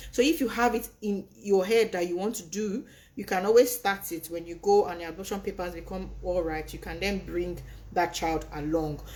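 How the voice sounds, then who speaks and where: A woman speaks with vocal fry. Her loudness swings widely. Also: medium pitch for a woman, ordinary pitch variation. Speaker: immigration consultant. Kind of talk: live webinar presentation and Q&A. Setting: online livestream. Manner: fast.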